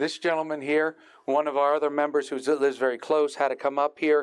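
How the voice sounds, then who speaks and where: The speaker has an unremarkable speaking voice and talks at a fairly quick pace. The sound is dry and close, with no echo. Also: man. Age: 60s. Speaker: amateur astronomer giving a beginner talk. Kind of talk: public talk. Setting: stage with live audience, streamed online. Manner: casual, conversational.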